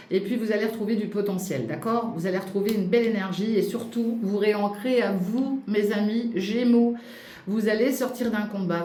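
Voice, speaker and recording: Over noticeable background noise, a woman speaks at medium pitch. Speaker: astrology and tarot reader. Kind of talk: tarot reading for viewers. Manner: fast; animated.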